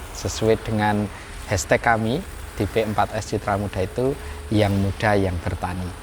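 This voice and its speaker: A man with a normal speaking voice talks at a fairly low pitch and a moderate pace, keeping his intonation fairly even. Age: 20s. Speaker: young organic farmer, farm training centre leader. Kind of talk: interview.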